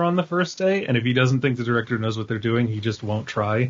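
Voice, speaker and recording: A man's voice sits at a medium pitch and rises and falls in an ordinary way. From Northern Virginia, US. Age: 30s. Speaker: film critic and podcaster. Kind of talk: casual chat. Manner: animated.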